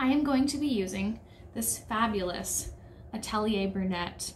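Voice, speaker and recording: The speaker is a woman with an American accent. Her voice is somewhat breathy. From United States. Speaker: sewing YouTuber. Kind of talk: casual vlog talk.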